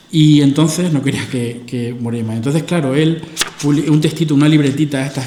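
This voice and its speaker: A man talks with ordinary pitch variation amid noticeable background noise and audible room echo. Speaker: philosopher giving a lecture. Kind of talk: lecture. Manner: fast.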